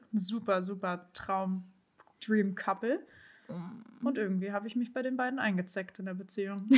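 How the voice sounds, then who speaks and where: A woman's somewhat breathy voice at medium pitch, with fairly even intonation and a moderate pace. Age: 20s. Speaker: podcast co-host. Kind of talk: casual chat.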